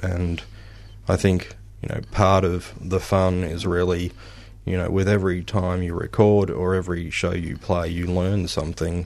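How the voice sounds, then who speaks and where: Monotone and flat, a man with an Australian accent speaks at a very deep, low pitch. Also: moderate pace. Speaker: musician. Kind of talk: radio interview. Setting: studio.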